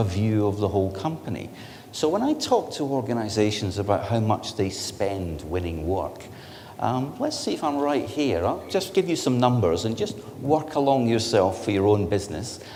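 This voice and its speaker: With lively intonation and a moderate pace, a man talks amid audible room echo and noticeable background noise. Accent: Scottish. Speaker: technology company director giving industry presentation. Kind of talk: conference presentation.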